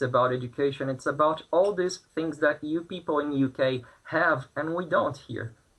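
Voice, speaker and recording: Fairly slow speech from a man, pitch varying in an ordinary way. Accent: Brazilian Portuguese. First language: Portuguese. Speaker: protester interviewed from Brazil. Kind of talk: news interview. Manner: halting, many fillers and repeats.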